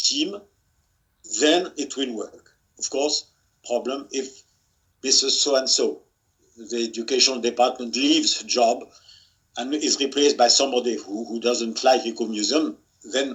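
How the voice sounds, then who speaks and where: With a French accent, a man speaks at a fairly slow pace in a medium-pitched voice with ordinary pitch variation and long, frequent pauses. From France. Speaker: museum expert, author. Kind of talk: webinar talk. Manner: halting, many repetitions.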